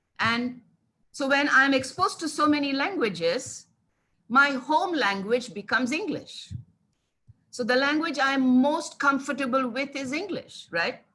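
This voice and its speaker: With an Indian accent, a woman speaks in a raised, projected voice with high pitch, lively intonation and a bright, sharp tone. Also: fairly slow pace. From India (childhood in Kanpur, Telugu family). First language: Telugu. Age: 60s. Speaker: English language teaching specialist. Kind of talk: webinar talk. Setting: online webinar.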